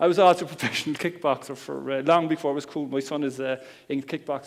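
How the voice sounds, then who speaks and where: The speaker has a strong Cork accent. Pitch variation is ordinary. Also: man. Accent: Cork Irish, strong. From Ireland, Cork. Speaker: internet marketing speaker. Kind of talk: seminar talk. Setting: stage with audience. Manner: casual, humorous.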